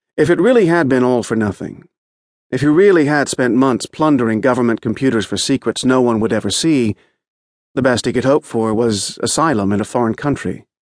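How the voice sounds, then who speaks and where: Against a quiet background, a man with an unremarkable speaking voice talks fairly quickly at a medium pitch with ordinary pitch variation. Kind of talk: audiobook narration of a magazine feature, read aloud. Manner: steady, measured, polished storytelling pace.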